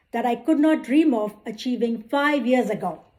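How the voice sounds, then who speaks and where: With an Indian accent, a woman talks at a fairly slow pace. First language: Indian language, not English. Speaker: accountant and club speaker. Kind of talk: prepared speech. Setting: club meeting with audience. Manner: formal.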